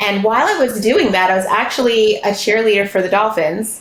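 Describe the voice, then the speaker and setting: Noticeable background noise surrounds a woman whose voice has ordinary pitch variation. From Bahamas. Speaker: therapist and business founder. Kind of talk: podcast interview.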